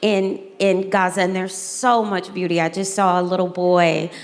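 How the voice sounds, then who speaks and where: Moderate pace and an American accent, with noticeable background noise. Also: woman. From US South. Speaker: moderator, educator. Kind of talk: moderated fireside chat.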